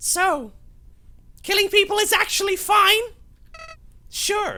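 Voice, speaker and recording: A woman puts on a character voice, pitched extremely high and delivered at a fairly slow pace. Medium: game stream. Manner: sneering, menacing.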